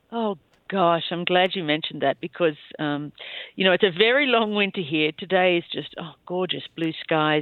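A woman speaks with an Australian accent at a fairly low pitch. Her pitch variation is ordinary. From Australia, rural New South Wales (Bowral). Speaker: former cross-country skier. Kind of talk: interview, personal life story.

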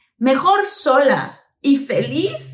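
Lively intonation carries a woman's animated tone. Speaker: podcast host and actress. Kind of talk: casual interview chat.

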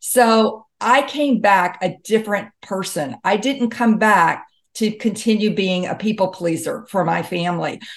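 A fairly slow pace in an ordinary speaking voice with an American accent, hardly any pauses and ordinary pitch variation. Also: woman, medium pitch for a woman. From US South, Mississippi. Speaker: author and health expert. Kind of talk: interview.

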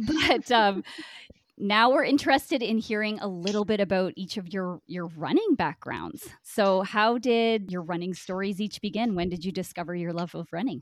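A woman with a Canadian accent has an unremarkable speaking voice at a medium pitch. She talks at a moderate pace with lively intonation. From Brockville, Ontario, Canada. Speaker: podcast host. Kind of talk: casual chat.

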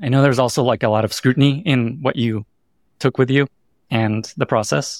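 A man has an unremarkable speaking voice at medium pitch, talking at a fairly quick pace with ordinary pitch variation. The sound is dry and close with no echo, in a very clean recording with a silent background. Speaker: podcast host. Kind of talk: interview conversation. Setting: hotel room.

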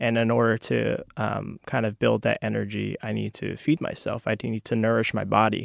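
A man with an American accent speaks at a moderate pace with hardly any pauses, in a dry, close sound with no echo. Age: 20s. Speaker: former monk, food bank worker. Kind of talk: casual chat. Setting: studio.

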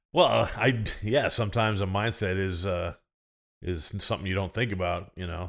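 A normal speaking voice from a man with an American accent, fairly low in pitch with ordinary pitch variation, at a moderate pace on a very clean recording with a silent background. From US Midwest (Illinois). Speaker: sumo wrestler and coach. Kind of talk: casual chat. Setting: host's living room.

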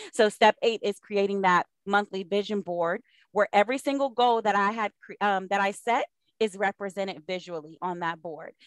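This woman speaks in an ordinary speaking voice at medium pitch, with ordinary pitch variation, a moderate pace, and a dry, close sound with no echo. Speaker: productivity coach. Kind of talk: interview.

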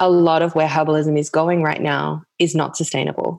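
With an Australian accent, a woman speaks at a moderate pace in a very deep, low pitch and monotone, flat intonation. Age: 30s. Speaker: herbalist and author. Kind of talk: casual chat.

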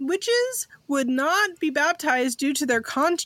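A woman speaks at a moderate pace in a high pitch with very wide pitch swings. The sound is dry and close with no echo, but there is noticeable background noise. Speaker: podcast co-host. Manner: laughs often, casual and joking.

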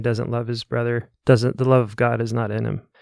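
A man uses an ordinary speaking voice at a fairly quick pace with fairly even intonation. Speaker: pastor. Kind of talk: panel discussion on church and family.

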